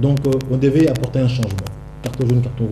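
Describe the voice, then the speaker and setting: Amid audible room echo and noticeable background noise, a man speaks at a fairly quick pace. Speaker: political activist. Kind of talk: TV interview. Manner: soft-spoken.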